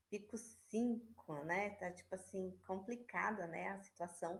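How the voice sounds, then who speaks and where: This is a woman speaking at medium pitch. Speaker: schoolteacher. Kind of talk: online class. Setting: video call. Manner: casual, hesitant fillers.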